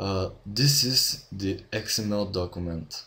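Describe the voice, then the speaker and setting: Someone with a Bulgarian accent speaks at a very slow pace. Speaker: game development tutorial maker. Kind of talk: tutorial. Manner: halting, many fillers. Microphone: poor audio quality from own mic.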